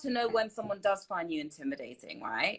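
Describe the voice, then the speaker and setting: In an English accent, a woman speaks at a fairly quick pace with very wide pitch swings. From UK. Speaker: TV host. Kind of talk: live Q&A chat. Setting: live stream.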